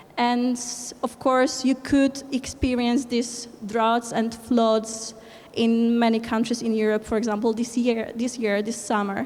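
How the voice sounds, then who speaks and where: In a Polish accent, the speaker talks at a fairly slow pace with monotone, flat intonation over noticeable background noise. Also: woman, fairly high pitch for a woman. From Poland. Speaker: conference speaker, environmental movement organizer. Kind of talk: conference presentation. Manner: halting, many fillers.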